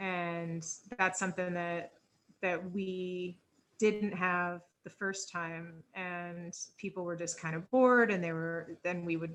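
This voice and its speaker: Flat, monotone intonation accompanies delivery at a very slow speed. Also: woman, fairly low pitch for a woman. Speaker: webinar presenter. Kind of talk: webinar panel discussion. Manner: halting, with stutters; casual, filler-heavy.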